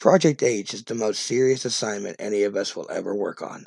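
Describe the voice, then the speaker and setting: A man's raspy put-on character voice at medium pitch and a moderate pace. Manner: stern, commanding.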